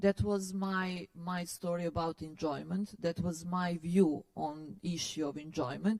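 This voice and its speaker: A woman with a non-native accent, fairly low in pitch, fairly slow, with ordinary pitch variation and hardly any pauses. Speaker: philosopher and curator giving a lecture. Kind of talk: lecture Q&A. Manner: hesitant, many fillers.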